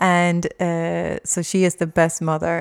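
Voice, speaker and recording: A woman's fairly low voice, dry and close with no echo, on a very clean recording with a silent background. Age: 40s. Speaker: spiritual podcast host. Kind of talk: solo monologue. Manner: halting.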